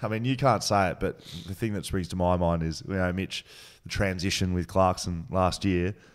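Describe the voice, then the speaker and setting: Against a quiet background, a man with an Australian accent speaks at a moderate pace in a very deep, low voice with ordinary pitch variation. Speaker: podcast host. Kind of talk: casual interview. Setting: studio. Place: studio. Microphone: studio mic.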